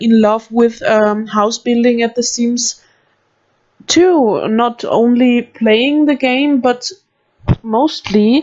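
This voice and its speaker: With an Austrian accent, a woman speaks at a very slow pace in a high pitch and fairly even intonation. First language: German. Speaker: gaming youtuber. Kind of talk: casual chat. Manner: halting.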